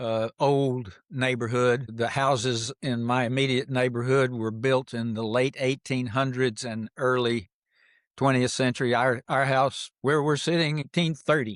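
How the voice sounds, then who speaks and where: Over a quiet background, a man with an American accent speaks at a fairly slow pace and medium pitch in fairly even intonation, the sound dry and close with no echo. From Mississippi. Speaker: comedian. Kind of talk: casual chat. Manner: halting.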